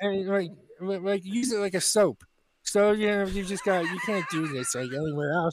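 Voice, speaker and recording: Speaking at a moderate pace with an American accent, the man has a high pitch and ordinary pitch variation. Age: 40s. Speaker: comedy podcast co-host. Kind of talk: casual comedic banter. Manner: sarcastic.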